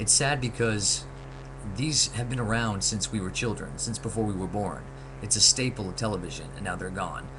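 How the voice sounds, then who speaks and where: Speaking at a fairly quick pace with lively intonation, a man with a fairly low pitch is heard over noticeable background noise and audible room echo. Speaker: vlogger, soap opera fan. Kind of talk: casual webcam monologue. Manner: fast; hesitant, many fillers.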